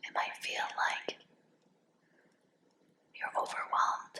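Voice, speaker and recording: Whispering in a soothing tone, a woman is heard over noticeable background noise. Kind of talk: hypnosis guided relaxation. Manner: whispered, soothing.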